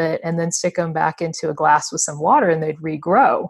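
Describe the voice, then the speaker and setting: A woman with an American accent speaks in an ordinary speaking voice, pitched fairly low. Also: quiet background. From USA. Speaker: co-host, sales rep. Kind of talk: casual chat.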